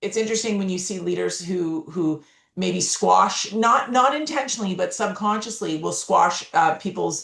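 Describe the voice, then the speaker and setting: A woman's unremarkable speaking voice at a moderate pace, with lively intonation. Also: medium pitch for a woman. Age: 50s. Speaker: keynote speaker and author. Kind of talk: podcast interview.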